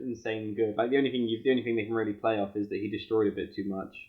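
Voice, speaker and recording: Racing along at a very fast pace, a man speaks at a medium pitch in a monotone, flat intonation. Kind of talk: casual podcast chat.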